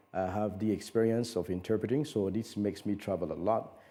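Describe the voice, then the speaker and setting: The voice is a man's, dark and mellow in tone. His pitch is fairly low. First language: French. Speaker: conference interpreter and voiceover coach. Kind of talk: TV interview. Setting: TV studio.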